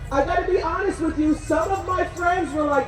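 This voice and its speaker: A woman with an American accent speaks at an extremely high pitch with ordinary pitch variation, with audible room echo and noticeable background noise. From New Jersey. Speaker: rally emcee and motivational speaker. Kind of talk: rally speech to a crowd. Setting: outdoor rally with audience. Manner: animated.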